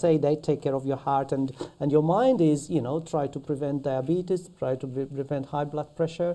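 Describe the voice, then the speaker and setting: The background is quiet. A man with a fairly high voice and a dark, mellow tone speaks at a moderate pace. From Malta. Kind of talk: podcast interview answer. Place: studio.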